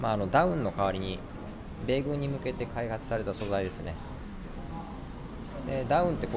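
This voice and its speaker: A very fast pace against loud background noise. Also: man. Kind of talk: product explanation. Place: shop. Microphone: phone near.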